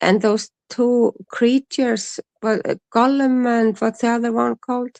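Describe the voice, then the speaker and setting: A woman with an Icelandic accent speaks at a fairly slow pace in a fairly high pitch. Her intonation is fairly even, and the sound is dry and close with no echo. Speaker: streamer's mother, co-host. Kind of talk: casual chat. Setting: live stream. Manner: halting.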